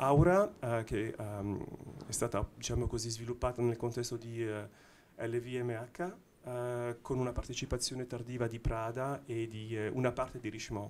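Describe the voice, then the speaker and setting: A man's unremarkable speaking voice at a medium pitch, fairly slow and fairly even in intonation, over light background noise. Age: middle-aged. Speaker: watch brand technology executive; panelist. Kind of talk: panel discussion. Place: hall. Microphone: handheld.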